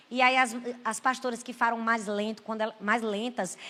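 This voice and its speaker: A woman's raised, projected voice with a Brazilian accent, animated in tone and at a fairly quick pace, over noticeable background noise. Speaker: pastor. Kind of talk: sermon.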